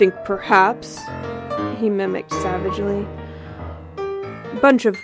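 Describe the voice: Simply plain reading aloud.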